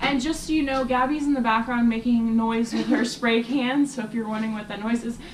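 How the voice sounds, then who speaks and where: Against noticeable background noise, a woman with a fairly high pitch speaks with hardly any pauses. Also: fairly quick pace. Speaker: spiritual vlogger. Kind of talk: casual monologue. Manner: fast; animated.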